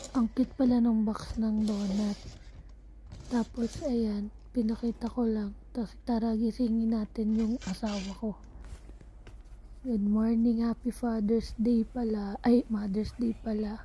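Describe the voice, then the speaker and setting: Somewhat breathy and dark, mellow in tone, a woman speaks at a fairly slow pace with monotone, flat intonation. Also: fairly high pitch for a woman. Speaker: vlogger. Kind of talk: casual vlog narration.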